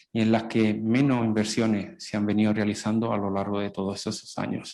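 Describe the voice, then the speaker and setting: A man speaks with a strong Andalusian accent at a fairly slow pace. His medium-pitched voice has a dark, mellow tone. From Italy. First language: Italian (speaking Spanish). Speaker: public health specialist, panelist. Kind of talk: panel discussion.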